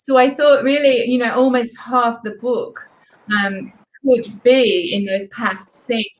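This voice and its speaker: A woman speaks with an English accent. Her pitch is high. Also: fairly even intonation, fairly slow pace. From England. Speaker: author. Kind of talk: interview.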